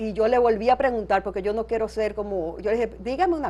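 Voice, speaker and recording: A woman's unremarkable speaking voice, fairly high in pitch, with lively intonation. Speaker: daughter of a revolutionary. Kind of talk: interview.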